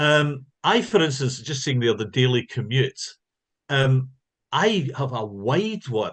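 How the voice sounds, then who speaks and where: With a Scottish accent, a man talks at a medium pitch and a very slow pace, his intonation lively. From Scotland. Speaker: linguistics professor. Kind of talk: lecture.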